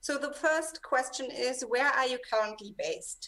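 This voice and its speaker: A woman at a fairly slow pace with ordinary pitch variation. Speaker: moderator at a political foundation. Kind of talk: moderating an online panel debate. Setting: video call. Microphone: webcam.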